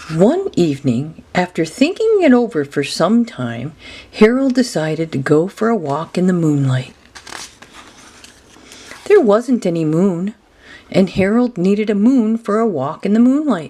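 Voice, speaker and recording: A medium-pitched woman at a fairly slow pace, with long, frequent pauses, very wide pitch swings and noticeable background noise. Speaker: grandmother reading a children's book aloud. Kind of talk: children's picture book reading.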